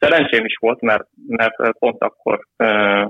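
The man's medium-pitched voice moves at a fairly slow pace. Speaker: youth football goalkeeper coach. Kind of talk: interview. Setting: phone call. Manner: halting. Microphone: phone line.

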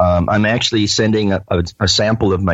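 A man speaks with fairly even intonation. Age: 60s. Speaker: cannabis grower and testing business owner. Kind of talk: interview. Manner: halting, many fillers.

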